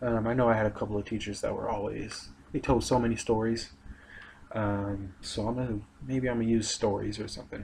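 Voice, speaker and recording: At a fairly quick pace, a somewhat breathy man talks at medium pitch with fairly even intonation. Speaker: aspiring English teacher. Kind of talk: recorded video presentation. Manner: monotone; hesitant, many fillers.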